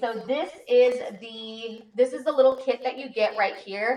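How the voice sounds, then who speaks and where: Using an unremarkable speaking voice, a woman speaks at a moderate pace with ordinary pitch variation. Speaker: beauty and shopping livestreamer. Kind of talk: livestream tutorial. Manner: casual, chatty.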